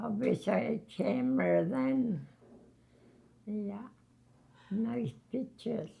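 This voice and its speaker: Speaking at a very slow pace, a woman with a medium pitch and a dark, mellow, somewhat breathy tone lets her pitch swing very widely. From Labrador, Canada. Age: 80s+. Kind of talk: interview answer. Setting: long-term care home.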